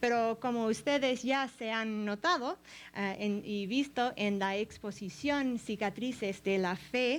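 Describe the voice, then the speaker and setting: Very slowly, a woman talks at a fairly high pitch with ordinary pitch variation. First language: English (speaking Spanish). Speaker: art history professor. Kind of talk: lecture. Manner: halting, many fillers.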